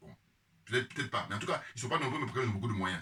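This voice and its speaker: A man's voice over noticeable background noise. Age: 50s. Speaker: political commentator. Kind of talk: casual monologue. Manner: hesitant; animated.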